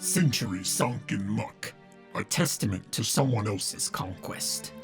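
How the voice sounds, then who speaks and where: A booming, put-on character voice at a moderate pace over clear background music. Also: man, fairly low pitch for a man. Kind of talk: audiobook reading. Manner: growling.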